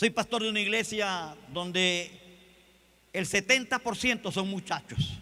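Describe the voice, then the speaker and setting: A man's raised, projected voice, high-pitched with a bright, sharp tone, ordinary pitch variation and a fairly slow pace. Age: 60s. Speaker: pastor. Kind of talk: sermon. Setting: convention stage with audience.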